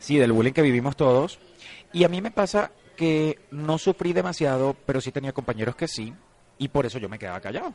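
An unremarkable speaking voice from a man, fairly high in pitch, with lively intonation, a fairly quick pace and big swings in loudness, in a dry, close sound with no echo. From Venezuela. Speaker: actor. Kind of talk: casual interview.

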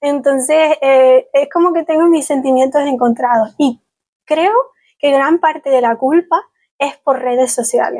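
In a Canary Islands accent, a woman speaks high-pitched at a fairly slow pace. Her pitch varies in an ordinary way and her loudness stays very even. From Canary Islands, Spain. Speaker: travel blogger. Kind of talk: casual chat.

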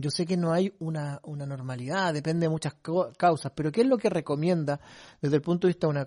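Against a quiet background, a plain, everyday voice talks with ordinary pitch variation. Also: man, dry, close sound with no echo. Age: 40s. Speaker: church program host. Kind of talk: interview.

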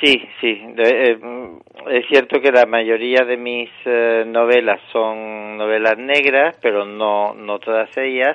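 Speaking at a very slow pace with hardly any pauses, a man keeps a medium pitch and fairly even intonation. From Morocco (Tangier), Spanish family. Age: 60. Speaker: novelist and secondary school teacher. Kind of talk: interview.

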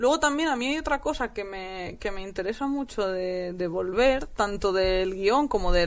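Against a quiet background, a woman with an unremarkable speaking voice talks at a fairly slow pace in a medium pitch with lively intonation. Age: 20s. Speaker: novelist. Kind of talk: casual chat.

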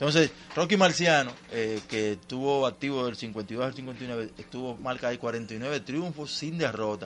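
This is a normal speaking voice with ordinary pitch variation. It goes at a fairly slow pace with hardly any pauses. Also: man, medium pitch for a man. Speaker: sports reporter. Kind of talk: sports report.

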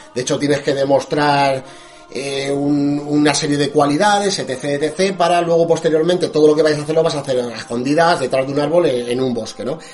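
At a fairly quick pace and with fairly even intonation, the speaker talks in a Spanish accent over noticeable background noise. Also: man, fairly high pitch for a man. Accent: Spanish (Spain). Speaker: radio host. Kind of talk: scripted narration; casual chat.

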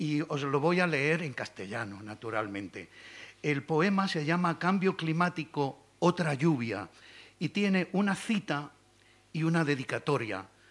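A man talks at a fairly slow pace with lively intonation. Vocal fry runs through his voice. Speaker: poet. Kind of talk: poetry reading. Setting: stage with audience.

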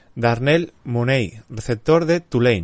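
Against a quiet background, a man with a Castilian accent speaks very slowly with lively intonation. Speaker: podcast host. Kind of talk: reading aloud; casual chat.

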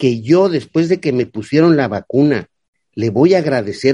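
A man's dark, mellow voice sits at a medium pitch. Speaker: political commentator, economics. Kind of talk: casual political chat.

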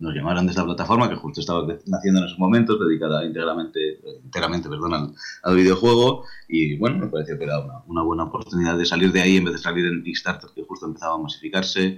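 A man with a very deep, low voice rattles along very quickly, his pitch varying in an ordinary way. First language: Catalan (bilingual with Spanish) (speaking Spanish). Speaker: video game writer. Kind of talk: interview.

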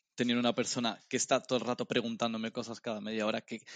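At a very fast pace, a man talks at a medium pitch, the sound dry and close with no echo and a quiet background. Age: 30s. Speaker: podcast co-host. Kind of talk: casual chat.

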